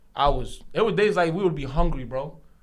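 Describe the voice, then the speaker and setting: Audible room echo surrounds a man speaking at a moderate pace. His tone is animated, with ordinary pitch variation. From Senegal, moved to US around age 10. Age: 20s. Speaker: barber. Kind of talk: casual podcast interview.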